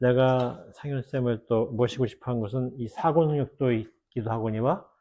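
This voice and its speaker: Speaking with fairly even intonation, a man keeps a medium pitch and a moderate pace. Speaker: theologian and former pastor. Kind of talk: casual chat.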